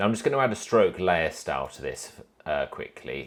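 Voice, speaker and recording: The pace here is fairly quick. It is a man talking in a British accent. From UK. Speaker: animation tutorial creator. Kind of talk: tutorial. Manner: casual, with fillers.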